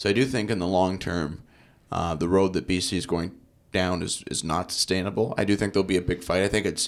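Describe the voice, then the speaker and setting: Very deep and low in pitch, a man with a Canadian accent is heard in a very clean recording with a silent background. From Canada, Victoria, British Columbia. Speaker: documentary filmmaker and political commentator. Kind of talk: interview.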